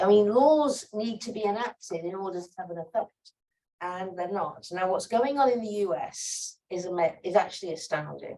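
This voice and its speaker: Speaking at a moderate pace, a woman with an American accent uses a medium pitch, lively intonation, and big swings in loudness. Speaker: sociologist and activist panelist. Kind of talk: panel Q&A answer. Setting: conference side event with audience. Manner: animated, conversational with fillers.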